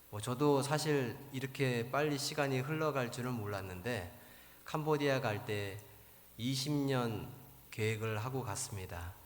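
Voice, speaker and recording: At a very slow pace, a man speaks in a medium pitch with ordinary pitch variation, and audible room echo surrounds him. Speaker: missionary pastor. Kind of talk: sermon. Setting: church.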